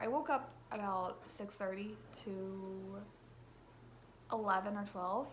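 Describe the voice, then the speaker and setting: Medium-pitched woman's voice with audible room echo. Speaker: book vlogger. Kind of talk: casual vlog. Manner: casual, filler-heavy.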